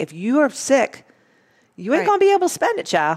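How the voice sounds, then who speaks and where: A woman speaks very fast in an animated tone, her pitch swinging very widely. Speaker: podcast host and women's wellness coach. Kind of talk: casual chat. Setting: studio.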